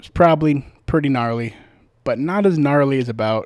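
Relaxed in tone, a man speaks at a moderate pace with medium pitch and lively intonation. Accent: Midwestern American. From US Midwest. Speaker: podcast host. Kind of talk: casual storytelling. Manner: relaxed, filler-heavy.

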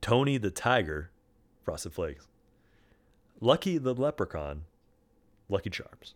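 A man speaks at a fairly slow pace with vocal fry, very wide pitch swings, and long, frequent pauses. The recording is very clean with a silent background. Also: medium pitch for a man. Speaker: podcast host. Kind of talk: casual chat.

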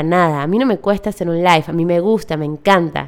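Here a woman is talking. She goes at a fairly quick pace. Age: 30s. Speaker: business coach and podcast host. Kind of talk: solo podcast monologue. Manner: warm and enthusiastic.

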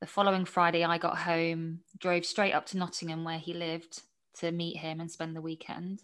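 A woman with a southern English accent speaks in a fairly bright tone.

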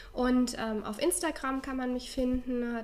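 Against noticeable background noise, a woman talks at a high pitch. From Baden-Württemberg, near Stuttgart. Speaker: relaxation trainer. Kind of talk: casual chat. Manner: hesitant, many fillers.

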